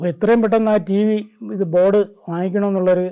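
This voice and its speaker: Fairly even intonation shapes a man's dark, mellow tone. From Kerala, India. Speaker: amateur scientist, retired bus conductor. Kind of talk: documentary interview, personal storytelling. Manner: halting, with restarts.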